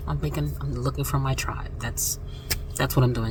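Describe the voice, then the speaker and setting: A soft-spoken woman with an American accent talks at a fairly quick pace. Noticeable background noise and audible room echo fill the recording. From Florida. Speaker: vlogger. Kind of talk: casual vlog.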